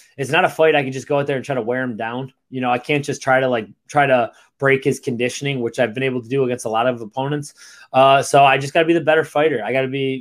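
In a very clean recording with a silent background, a man talks very fast at a medium pitch with fairly even intonation. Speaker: UFC fighter.

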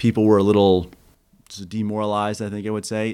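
On a very clean recording with a silent background, a man with an American accent speaks very fast in a fairly low pitch. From Kansas. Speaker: war veteran. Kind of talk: interview.

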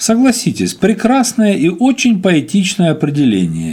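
A man's voice, high-pitched for a man, with a dark, mellow tone and lively intonation. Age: 50s. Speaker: podcaster and rock musician. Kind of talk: monologue blog commentary.

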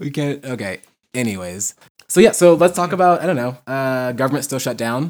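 A man with an unremarkable speaking voice at medium pitch, lively intonation, big swings in loudness and a fairly quick pace. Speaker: podcast host. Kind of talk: casual banter podcast chat. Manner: teasing, laughs often.

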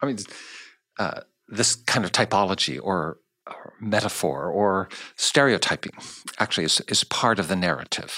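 In a General American accent, a man with a fairly low pitch, vocal fry and a bright, sharp tone uses lively intonation and long, frequent pauses in a very clean recording with a silent background. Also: moderate pace, dry, close sound with no echo. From United States. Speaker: podcast host. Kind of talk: interview. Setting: studio.

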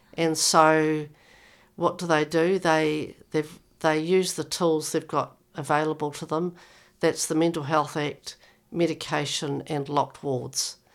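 On a very clean recording with a silent background, a woman with a New Zealand accent speaks very slowly in a very deep, low pitch with monotone, flat intonation. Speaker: mental health executive and author, speaking from lived experience. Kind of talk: interview, with passages read aloud from her memoir.

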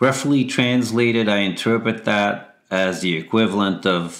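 A man talks in a normal speaking voice at medium pitch and a fairly slow pace. The recording is very clean, with a silent background. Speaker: article narrator. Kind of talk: reading aloud.

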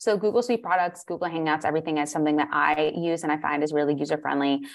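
Against a quiet background, the speaker uses an American accent with ordinary pitch variation. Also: woman. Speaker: holistic nutritionist and life coach. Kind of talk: interview.

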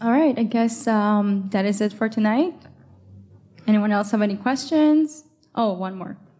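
Her fairly high, somewhat breathy voice comes with long, frequent pauses as this woman speaks. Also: ordinary pitch variation, moderate pace. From Quebec, Montreal. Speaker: meetup organizer and event moderator. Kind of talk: live event moderation. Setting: live event with audience.

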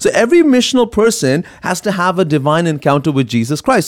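A man speaks at a fairly quick clip in a high voice, his pitch swinging very widely. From Middle East. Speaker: pastor and ministry founder. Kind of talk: casual chat.

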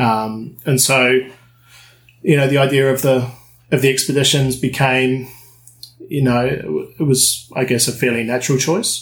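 A man with a New Zealand accent speaks at a medium pitch and a moderate pace, somewhat breathy, with fairly even intonation and very even loudness. He leaves long, frequent pauses. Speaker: dive instructor and dive trip operator. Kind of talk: casual interview.

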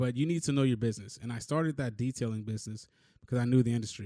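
A man speaks at a very fast pace with a dark, mellow tone and ordinary pitch variation. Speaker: podcast host. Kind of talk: solo podcast monologue with notes. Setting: video recording, looking at camera. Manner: informal, chatty, hesitant with fillers.

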